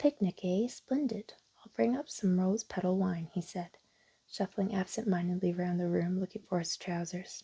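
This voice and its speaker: Soft-spoken and somewhat breathy, a woman talks at a moderate pace in a calm tone. Her voice has a dark, mellow tone and ordinary pitch variation. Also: medium pitch for a woman. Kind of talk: children's storybook narration. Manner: soft-spoken, calm.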